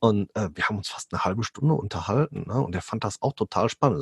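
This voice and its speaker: Somewhat breathy, a man talks at a fairly quick pace in a dry, close sound with no echo. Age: 30s. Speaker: police officer and barefoot coach. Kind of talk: interview. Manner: hesitant, many fillers.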